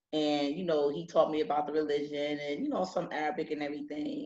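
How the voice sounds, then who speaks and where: A woman's very deep, low voice in a New Jersey accent, fairly even in intonation, at a moderate pace. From Newark, New Jersey. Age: 40s. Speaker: English teacher. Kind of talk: interview.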